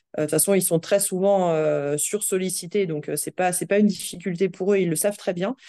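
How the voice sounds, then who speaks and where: A woman speaks at a fairly quick pace with hardly any pauses. Her pitch is medium, her intonation fairly even, and the background is quiet. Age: 30s. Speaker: HR director. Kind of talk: interview. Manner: halting, many fillers and repetitions.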